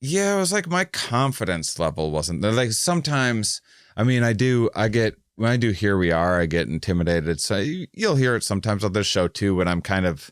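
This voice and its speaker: On a very clean recording with a silent background, a man speaks at a fairly quick pace with a fairly low pitch, very wide pitch swings and very even loudness. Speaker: comedian and podcast host. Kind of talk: casual podcast conversation. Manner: halting, many false starts.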